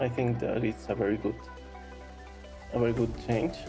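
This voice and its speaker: With music playing behind him, a man of medium pitch speaks with a non-native accent. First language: non-native English speaker. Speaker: DIY car detailing hobbyist. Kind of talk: casual DIY tutorial talk to camera.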